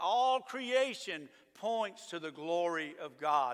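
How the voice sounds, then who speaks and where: Very slow speech from a man with a Southern US accent and very wide pitch swings. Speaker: pastor. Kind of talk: sermon. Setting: church.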